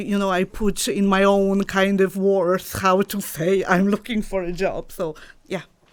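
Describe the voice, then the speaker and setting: At a fairly slow pace, a woman with a Polish accent speaks at medium pitch in a monotone, flat intonation. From Poland, Chełmno. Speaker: dog trainer. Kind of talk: interview. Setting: studio.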